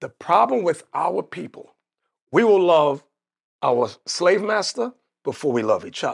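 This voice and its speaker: An animated voice with an American accent swings very widely in pitch. Long, frequent pauses break up the speech. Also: man, high pitch for a man, fairly slow pace. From United States. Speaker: religious leader. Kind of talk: interview about religion. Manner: animated storyteller.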